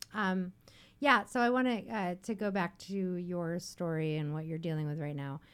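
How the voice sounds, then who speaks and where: A woman talks at a moderate pace in a normal speaking voice, fairly low in pitch with lively intonation. The recording is very clean, with a silent background. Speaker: radio host. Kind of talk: casual chat. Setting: studio.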